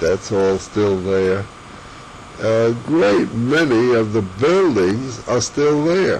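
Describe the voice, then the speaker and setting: A man speaks at a medium pitch with an American accent and lively intonation. Noticeable background noise runs under his voice. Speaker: family elder sharing memories. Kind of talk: oral history interview. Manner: halting, with false starts.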